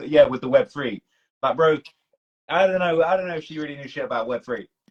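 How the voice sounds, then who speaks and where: Speaking with a British accent at a very fast pace, a man has a fairly high pitch, ordinary pitch variation, an animated tone and big swings in loudness. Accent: British accent, sounds non-Toronto. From UK. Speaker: livestream host, hip hop commentator. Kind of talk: casual chat on livestream. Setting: Instagram live stream.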